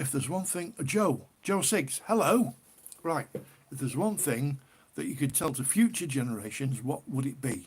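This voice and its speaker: Speaking at a moderate pace with a northern English accent, a man with a fairly high, somewhat breathy voice makes very wide pitch swings. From northern England, Cheshire. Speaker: livestreamer, ale reviewer. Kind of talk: casual live stream chat. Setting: live stream. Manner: chatty, informal.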